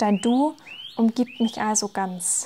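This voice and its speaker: This voice belongs to a woman with fairly high pitch. Its variation is ordinary. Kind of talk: poetry slam performance.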